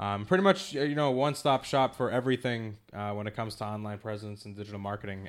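A man speaks very fast in a fairly low voice with a slight Boston accent. The recording is very clean, with a silent background. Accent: slight Boston accent on certain words. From Massachusetts. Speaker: digital marketing company founder. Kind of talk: casual interview.

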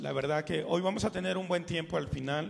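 Noticeable background noise sits behind a man whose voice shows ordinary pitch variation. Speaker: pastor. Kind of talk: sermon. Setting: church. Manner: fervent, pleading, slow, with pauses and repeated 'Señor'.

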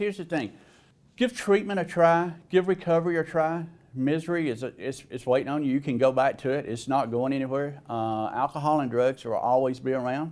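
A man in a Southern US accent, fairly high-pitched and fairly quick, with ordinary pitch variation on a very clean recording with a silent background. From Alabama, US South. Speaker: person in recovery sharing story. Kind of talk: testimony. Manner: hesitant, filler-heavy.

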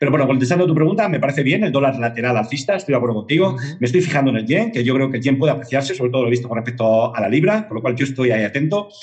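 Lively in intonation, a man talks at a very fast pace with hardly any pauses. Noticeable background noise sits behind him. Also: medium pitch for a man. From Spain, Madrid. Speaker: independent market analyst. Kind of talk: interview.

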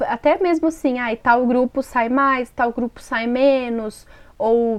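This is a woman speaking. Her voice sits at a high pitch. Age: 20s. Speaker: podcast co-host, small online shop owner. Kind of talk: casual chat.

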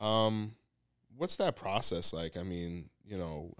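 A man with an unremarkable speaking voice, fairly low pitch and a fairly slow pace, in a very clean recording with a silent background. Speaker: podcast host. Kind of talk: interview.

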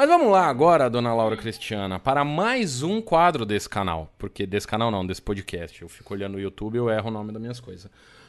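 Here a man has a plain, everyday voice at medium pitch. His intonation is lively against a quiet background. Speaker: podcast host. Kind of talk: casual chat. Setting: live stream.

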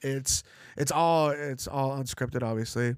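A man talks in an unremarkable speaking voice at medium pitch, with fairly even intonation and a moderate pace. The recording is very clean, with a silent background. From Los Angeles, US (Russian-born). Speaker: college professor and musician. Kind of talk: casual interview conversation.

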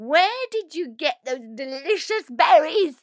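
A female-sounding voice performs a put-on character at an extremely high pitch. It is shrill and moves at a fairly slow pace. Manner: screeching.

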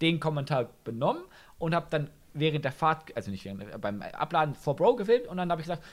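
With vocal fry, a man talks at a very fast pace in a fairly high pitch, his pitch swinging very widely. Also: very clean recording, silent background. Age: 20s. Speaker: TikTok creator. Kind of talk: casual chat.

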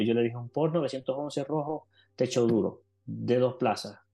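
Medium in pitch, this voice belongs to a man. Its tone is dark and mellow. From Venezuela. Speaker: life coach. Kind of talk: podcast interview.

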